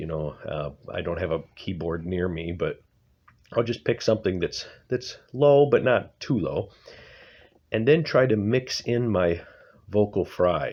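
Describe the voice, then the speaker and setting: Over a quiet background, a man speaks in a fairly low pitch with lively intonation. His pace is fairly slow, with long, frequent pauses. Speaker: amateur singer. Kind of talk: tutorial. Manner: halting.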